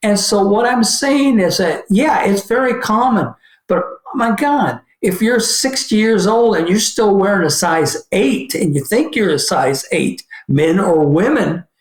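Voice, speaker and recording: This man talks at a fairly slow pace with high pitch, lively intonation and very even loudness. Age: 70s. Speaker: shoe company owner. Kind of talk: podcast interview. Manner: halting, self-correcting.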